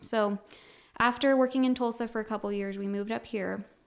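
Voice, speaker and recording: A woman with an American accent, fairly quick pace, monotone and flat intonation, on a very clean recording with a silent background. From Colorado. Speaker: refugee resettlement worker. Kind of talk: interview testimony.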